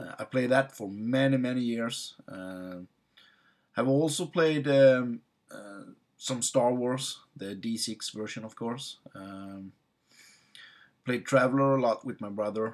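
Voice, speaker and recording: In a Swedish accent, a man speaks at a very slow pace and medium pitch with ordinary pitch variation, long and frequent pauses, and big swings in loudness, on a very clean recording with a silent background. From Sweden. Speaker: tabletop game master vlogger. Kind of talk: casual personal introduction. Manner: halting, many fillers.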